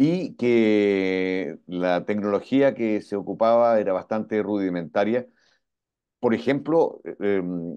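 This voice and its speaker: Quiet surrounds the speaker. The tone is dark and mellow. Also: man. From Chile. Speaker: voice actor. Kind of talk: interview answer.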